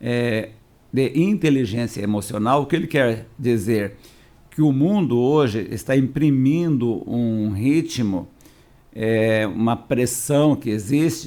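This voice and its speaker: Speaking at a very slow pace, a man uses a medium pitch and ordinary pitch variation. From Paraná, southern Brazil (Londrina area). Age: 60s. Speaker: pastor. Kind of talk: podcast interview.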